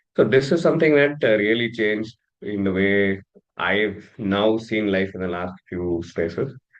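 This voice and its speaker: A man with a Kannada accent, fairly low in pitch, ordinary pitch variation, moderate pace. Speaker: leadership and career coach. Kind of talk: interview conversation. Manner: hesitant with fillers.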